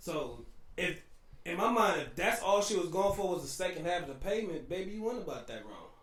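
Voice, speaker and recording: A man's high voice with a slight New Orleans accent, lively intonation, big swings in loudness and a fairly quick pace, amid noticeable background noise and audible room echo. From New Orleans, US South. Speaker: podcast co-host. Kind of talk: casual chat. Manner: animated.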